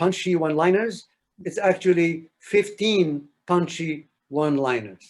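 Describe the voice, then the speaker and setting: This is a man's voice, fairly high in pitch. His pitch variation is ordinary. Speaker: lecturer. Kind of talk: lecture.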